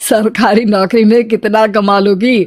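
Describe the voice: A woman in a put-on character voice, fairly high-pitched, at a very slow pace with big pitch swings.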